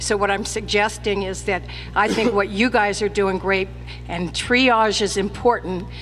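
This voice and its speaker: Music plays in the background as a woman with an American accent speaks at a fairly slow pace. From Vallejo, California. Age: 60s. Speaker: community meeting speaker, laid-off teacher. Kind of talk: public comment at community meeting.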